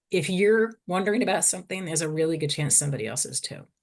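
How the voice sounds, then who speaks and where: A woman with a fairly low, somewhat breathy voice speaks with ordinary pitch variation against a quiet background. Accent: Boston. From US Northeast (Boston). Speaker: psychologist and fertility researcher. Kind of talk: webinar lecture. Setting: online webinar. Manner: fast; hyper, energetic.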